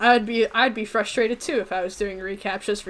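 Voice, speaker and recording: Fairly quick, fairly even speech plays over noticeable background noise. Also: woman. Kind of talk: casual storytime narration.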